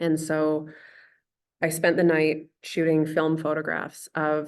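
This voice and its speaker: A woman speaks with a western Canadian accent. Her pitch is very deep and low. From Canada, Okanagan Valley, British Columbia. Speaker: artist and researcher. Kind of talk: lecture. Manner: casual with many fillers.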